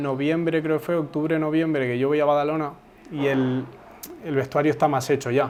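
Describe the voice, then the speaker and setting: With monotone, flat intonation, a man talks at a fairly high pitch. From Uruguay, raised in Spain (Zaragoza). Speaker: footballer. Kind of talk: interview. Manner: casual, hesitant with repetitions.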